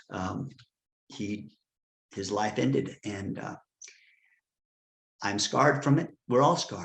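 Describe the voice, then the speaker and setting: With vocal fry and a fairly low pitch, a man talks very slowly, his pitch swinging very widely, his loudness changing greatly, and long pauses coming often. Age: 60s. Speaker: retreat founder and advocate. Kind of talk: interview testimony. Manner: halting.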